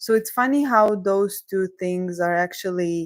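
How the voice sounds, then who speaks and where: Very slow and at medium pitch, a woman with a non-native accent speaks in a dry, close recording with no echo, very clean with a silent background. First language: not English. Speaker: career coach. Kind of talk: live coaching session. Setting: livestream.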